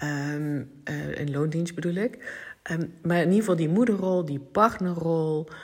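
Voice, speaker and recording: At a fairly slow pace, a woman talks with a fairly low pitch and ordinary pitch variation. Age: 40s. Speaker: podcast host, personal development coach. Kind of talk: solo monologue podcast. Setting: at home on the couch. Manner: halting.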